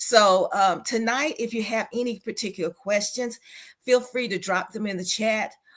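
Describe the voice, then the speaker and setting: A woman's fairly high voice carries ordinary pitch variation at a moderate pace. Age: 60s. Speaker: retired clinical social worker, grief recovery speaker. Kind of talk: online church talk on grief. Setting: online church livestream. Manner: hesitant, many fillers.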